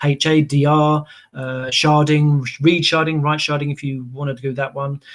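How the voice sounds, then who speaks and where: A man with an English accent talks in a fairly even intonation. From England. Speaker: database solution architect. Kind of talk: technical webinar presentation. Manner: fast; hesitant with fillers and repetitions.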